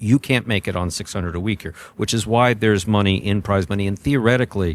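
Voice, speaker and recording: A man with an American accent talks at a fairly quick pace and fairly low pitch with lively intonation, in a plain, everyday voice. The recording is very clean, with a silent background and a dry, close sound with no echo. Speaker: jai-alai announcer / industry insider, podcast guest. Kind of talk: interview answer.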